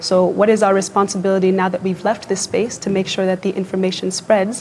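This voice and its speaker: A woman speaks very fast in a flat monotone, with noticeable background noise behind her. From Kenya. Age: 20s. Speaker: youth activist. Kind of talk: TV interview.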